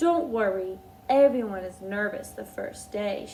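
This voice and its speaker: A woman at medium pitch puts on a character voice with lively intonation. Clear background noise can be heard. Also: moderate pace. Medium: read story. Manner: gushing.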